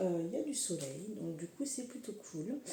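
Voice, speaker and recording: A woman talks in a relaxed tone, her pitch swinging very widely. Background noise is noticeable and room echo audible. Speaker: horoscope reader and energy healer. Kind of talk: casual tarot-style horoscope reading. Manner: hesitant, many fillers; relaxed, unhurried.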